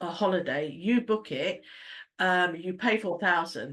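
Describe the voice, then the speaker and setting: Over a quiet background, a woman speaks with a British accent and a bright, sharp tone. Her pitch is fairly low, with ordinary variation. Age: 60s. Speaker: travel agent. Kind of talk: business presentation. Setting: online meeting. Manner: halting.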